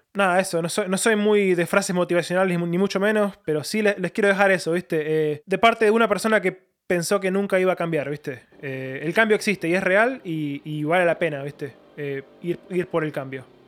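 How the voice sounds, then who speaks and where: A man with an Argentine accent and a high pitch talks at a fairly quick pace with hardly any pauses and ordinary pitch variation. The recording is very clean, with a silent background. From Argentina, Buenos Aires (Lanús). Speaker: missionary. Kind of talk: interview. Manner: halting, many fillers.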